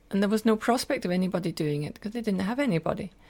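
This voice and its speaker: A woman with a Scottish accent talks at a medium pitch on a very clean recording with a silent background. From Scotland, Glasgow. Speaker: spiritual teacher and translator. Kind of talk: interview conversation. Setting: summer cottage.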